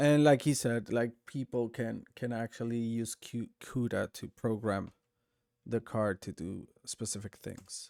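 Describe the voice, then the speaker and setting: A man's medium-pitched voice with a non-native accent, recorded dry and close with no echo. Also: fairly even intonation, fairly slow pace. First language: not English. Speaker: streamer. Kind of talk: live stream reaction commentary. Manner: halting, many fillers and restarts.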